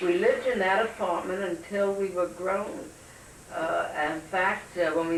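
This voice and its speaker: A woman with an American accent at medium pitch and a fairly slow pace, with audible room echo and noticeable background noise. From New York City, Brooklyn. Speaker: interviewee sharing family memories. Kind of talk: oral history interview.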